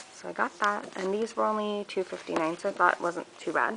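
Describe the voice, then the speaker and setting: Light background noise sits behind a woman's voice. She speaks at a moderate pace with ordinary pitch variation. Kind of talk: casual haul vlog chat. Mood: cheerful, enthusiastic. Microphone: phone near.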